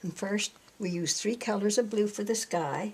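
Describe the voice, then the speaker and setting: Fairly slow speech from a woman with fairly even intonation, over noticeable background noise. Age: 80s+. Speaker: melted crayon painter. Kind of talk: art demonstration.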